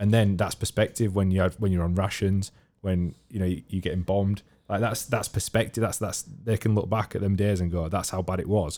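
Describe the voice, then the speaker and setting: Fairly low and dark, mellow in tone, a man speaks with a Yorkshire accent at a fairly quick pace. His intonation is fairly even, and the recording is very clean with a silent background. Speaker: podcast host. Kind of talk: casual chat.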